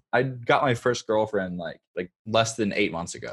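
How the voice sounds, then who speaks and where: Using a plain, everyday voice, a man speaks at a fairly low pitch and a moderate pace with lively intonation. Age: 20s. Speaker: TikTok creator. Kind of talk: casual chat.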